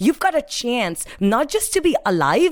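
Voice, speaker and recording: An animated woman with an Indian accent and very wide pitch swings. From Mumbai, India. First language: Hindi. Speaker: sales professional and speaker. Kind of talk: interview, storytelling with motivational tone. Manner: animated, motivational.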